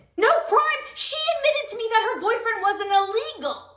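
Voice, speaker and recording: Putting on a squeaky character voice, a woman talks at a fairly quick pace in an extremely high pitch. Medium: comedy sketch. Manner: shrill, indignant, accusatory.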